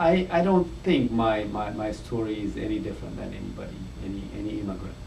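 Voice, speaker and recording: A man with an Ethiopian accent talks at a fairly quick pace. Noticeable background noise and audible room echo are present. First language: Amharic. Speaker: father, immigrant. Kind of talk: interview testimony.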